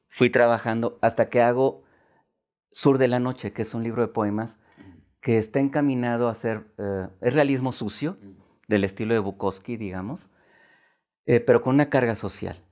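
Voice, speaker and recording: Against a quiet background, a man speaks at a moderate pace with ordinary pitch variation and long, frequent pauses. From Guanajuato, Mexico. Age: 50s. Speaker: poet. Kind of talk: interview. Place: studio. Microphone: lapel.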